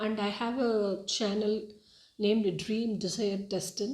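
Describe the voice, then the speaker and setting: Speaking with a Tamil accent, a woman uses a fairly high pitch. Her intonation is monotone and flat. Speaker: spiritual YouTuber. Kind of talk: personal testimony monologue. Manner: halting, many fillers.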